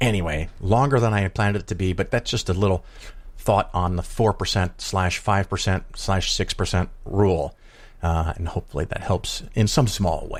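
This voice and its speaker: A man with an American accent speaks at a moderate pace, fairly low in pitch and somewhat breathy, with ordinary pitch variation. The recording is very clean with a silent background. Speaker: podcast host and investing commentator. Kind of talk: casual monologue and interview.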